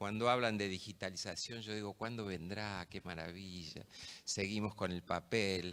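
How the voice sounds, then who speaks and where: An unremarkable speaking voice comes from a man talking at a moderate pace. The recording is very clean, with a silent background. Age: 60s. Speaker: judge. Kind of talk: conference talk.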